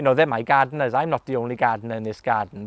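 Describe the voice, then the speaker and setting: A man with a Welsh accent is heard in a dry, close sound with no echo, on a very clean recording with a silent background. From West Wales. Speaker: gardener. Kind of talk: casual interview talk. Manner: hesitant, many fillers.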